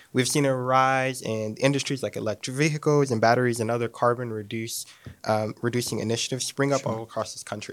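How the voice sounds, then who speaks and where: A man speaks at a medium pitch and a fairly quick pace. The recording is very clean, with a silent background. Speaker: university student. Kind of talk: audience question. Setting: stage with audience. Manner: animated.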